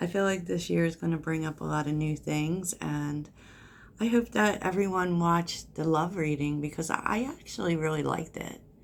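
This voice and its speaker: Soft-spoken, a woman talks in a fairly low pitch. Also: ordinary pitch variation. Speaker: tarot reader. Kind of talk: tarot reading. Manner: slow.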